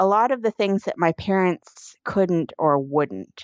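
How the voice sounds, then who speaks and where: At a fairly slow pace, a woman with a medium pitch uses an unremarkable speaking voice with lively intonation. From Canada. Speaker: writer and editor. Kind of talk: interview testimony.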